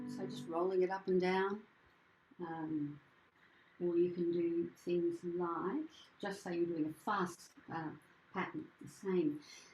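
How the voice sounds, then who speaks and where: A woman with an Australian accent speaks at a fairly slow pace in a fairly low pitch, her intonation fairly even, with long, frequent pauses. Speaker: singing teacher and presenter. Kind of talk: workshop presentation with piano demonstration.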